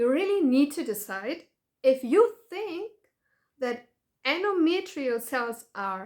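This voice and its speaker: A woman with a German accent speaks very slowly in a high voice, with very wide pitch swings and long, frequent pauses. The recording is very clean, with a silent background. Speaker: patient advocate vlogger. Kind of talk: video commentary. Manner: halting.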